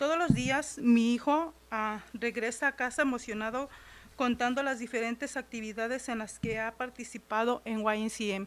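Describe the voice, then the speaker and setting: At a fairly quick pace, a woman speaks with fairly even intonation and a fairly high pitch. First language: Spanish. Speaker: parent speaking at public comment. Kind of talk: public comment, reading prepared statement. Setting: school board meeting. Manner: halting.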